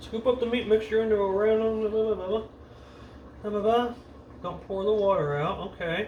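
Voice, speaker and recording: Audible room echo and noticeable background noise surround a man speaking at a moderate pace in a high pitch. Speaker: home cook vlogger. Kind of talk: casual cooking tutorial. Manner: casual, profane, reading instructions aloud; mumbling and getting quiet.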